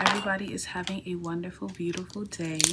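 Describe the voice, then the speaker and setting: A woman is whispering. She is soft-spoken. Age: 20s. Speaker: art student and vlogger. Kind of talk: casual vlog, get ready with me. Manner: casual, chatty; soft, whispering.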